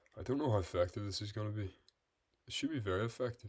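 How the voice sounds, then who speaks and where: A man's relaxed, somewhat breathy tone. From Northern Ireland. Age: 20s. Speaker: chess streamer. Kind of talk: live-stream commentary while playing chess. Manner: relaxed, thinking aloud.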